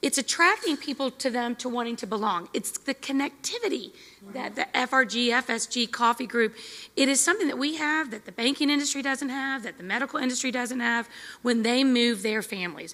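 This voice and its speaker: A woman talks loudly at a fairly quick pace. Her pitch is high. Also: ordinary pitch variation. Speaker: military spouse session leader. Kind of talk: group discussion.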